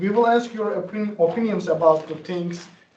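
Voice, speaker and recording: A man with a non-native accent and a high pitch, fairly even intonation, and a moderate pace, amid audible room echo and noticeable background noise. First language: not English. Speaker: student senator. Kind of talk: meeting discussion.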